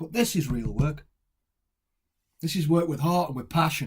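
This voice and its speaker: At a moderate pace, the speaker's somewhat breathy voice moves through ordinary pitch variation. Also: man. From Stoke-on-Trent, England. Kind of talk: dramatic monologue.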